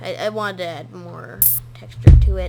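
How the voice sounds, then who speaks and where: A woman speaks at a moderate pace with audible room echo. Music plays in the background. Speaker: gaming YouTuber and hobby game developer. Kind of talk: gameplay commentary.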